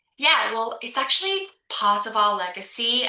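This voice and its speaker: At a moderate pace and with ordinary pitch variation, the speech carries audible room echo and noticeable background noise. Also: woman. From Liverpool, England. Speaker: insurance executive. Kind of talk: podcast interview. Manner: hesitant, many fillers.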